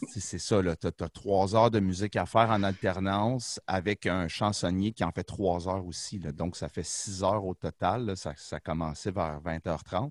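Speaking with a very deep, low pitch and ordinary pitch variation, a man talks at a fairly slow pace with hardly any pauses, in a dry, close sound with no echo. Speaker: rock band musician. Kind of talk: casual chat. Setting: video call.

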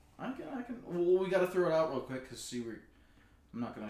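A man at a very fast pace, with very wide pitch swings and audible room echo. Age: 30s. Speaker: podcast co-host. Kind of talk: casual chat.

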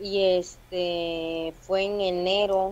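This is a woman speaking. She has a strong Veracruz accent. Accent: strong Veracruz (jarocho) Mexican. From Veracruz, Mexico. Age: 20s. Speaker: stand-up comedian. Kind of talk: casual chat.

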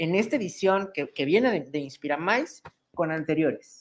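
Very wide pitch swings from a woman in a Mexican accent. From Mexico. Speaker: online show host. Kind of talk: interview. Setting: video call.

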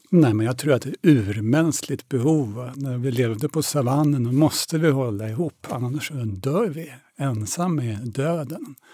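A man talks at a fairly slow pace with hardly any pauses. His tone is dark and mellow, at medium pitch with ordinary pitch variation. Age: 60s. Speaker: theatre director and masters sprinter. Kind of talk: interview.

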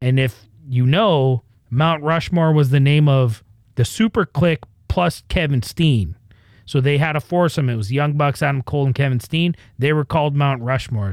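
A man with a Canadian accent speaks in an ordinary speaking voice, pitched fairly high, with very even loudness and ordinary pitch variation, on a very clean recording with a silent background and a dry, close sound with no echo. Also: moderate pace.

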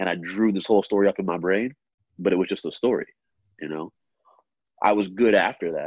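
Speaking at a fairly quick pace with long, frequent pauses, a man with a fairly low pitch keeps a fairly even intonation. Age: young. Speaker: personal trainer and gym coach. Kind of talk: casual chat.

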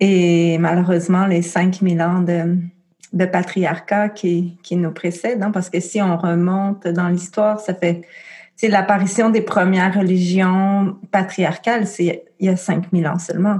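Speaking very slowly at a medium pitch, a woman keeps a flat, monotone delivery with very even loudness and a dark, mellow, somewhat breathy tone. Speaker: midwife and birth educator. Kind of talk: interview.

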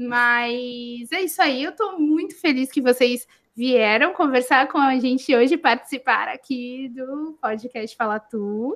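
A woman with a high pitch talks at a very slow pace, with hardly any pauses. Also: ordinary pitch variation. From Santos, São Paulo state, Brazil. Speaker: podcast host. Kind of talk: casual chat.

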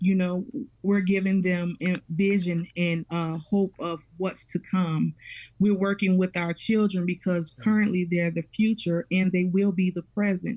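A woman speaks with a dark, mellow tone that is somewhat breathy. Her intonation is monotone and flat. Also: medium pitch for a woman, fairly slow pace. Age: 30s. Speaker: parish parent coordinator. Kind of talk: radio interview.

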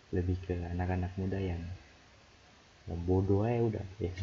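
In a very deep, low pitch, a man speaks with a dark, mellow tone that is somewhat breathy. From Jayapura, Papua, Indonesia. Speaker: podcaster, recent nursing graduate. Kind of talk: casual solo diary-style talk. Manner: halting, rambling, self-interrupting.

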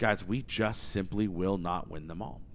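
A man with an American accent and vocal fry speaks at a fairly slow pace. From Oklahoma. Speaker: podcast host and entrepreneur. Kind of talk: casual solo monologue. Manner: energetic.

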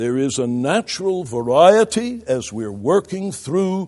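Against a quiet background, a man speaks at a very slow pace. His fairly high voice makes very wide pitch swings. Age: 70s. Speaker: pastoral theology lecturer and preacher. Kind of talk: lecture. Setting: classroom with audience of ministers.

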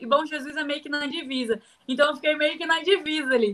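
A woman speaks with a high pitch and ordinary pitch variation in a bright, sharp tone. Her voice is raised and projected, moving at a fairly quick pace. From Brazil, Rio de Janeiro. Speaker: professional wrestler. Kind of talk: interview. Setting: video call.

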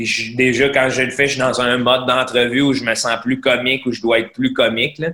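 In a bright, sharp tone, a man talks fairly quickly with monotone, flat intonation. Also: medium pitch for a man, hardly any pauses. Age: 30s. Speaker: comedian. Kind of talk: casual chat.

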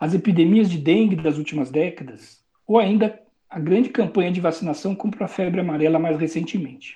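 Speaking at a fairly quick pace, the voice comes through against a quiet background. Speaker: physician and public health professor. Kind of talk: interview. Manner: formal.

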